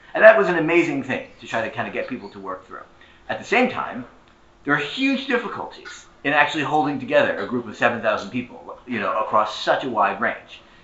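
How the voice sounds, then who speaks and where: A man talks amid noticeable background noise and audible room echo. His loudness swings widely. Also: fairly quick pace. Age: 30s. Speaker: historian and labor organizer. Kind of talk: conference panel talk.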